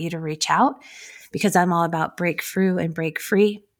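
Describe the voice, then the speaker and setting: A woman with an unremarkable speaking voice talks at a fairly quick pace, her fairly low pitch moving with ordinary variation, in a very clean recording with a silent background. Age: 50s. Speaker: podcast host. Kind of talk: solo faith-based encouragement monologue. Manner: warm, earnest, with fillers and repetitions.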